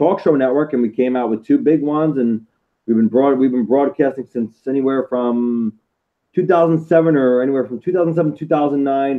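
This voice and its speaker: A man with an American accent, fairly high pitch and a fairly quick pace. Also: ordinary pitch variation. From Florida. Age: 30s. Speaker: podcast host. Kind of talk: interview. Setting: home studio. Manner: halting, many fillers.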